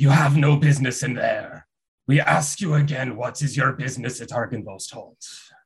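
In a growling, menacing put-on character voice at medium pitch, a man speaks at a moderate pace. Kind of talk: formal, archaic.

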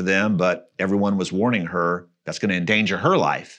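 Over a quiet background, a man talks fairly quickly in a plain, everyday voice. His pitch is fairly low, with ordinary variation. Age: 50s. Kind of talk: casual interview.

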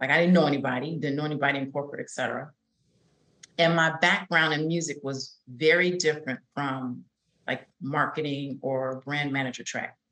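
A woman with an American accent, her pitch very deep and low, her tone bright and sharp, her intonation fairly even and her pace fairly quick. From Chicago, south side. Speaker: career coach. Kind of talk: interview.

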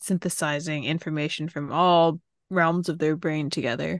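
Against a quiet background, a woman with an ordinary speaking voice talks at a moderate pace with ordinary pitch variation, the sound dry and close with no echo. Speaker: podcast co-host. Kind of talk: casual chat.

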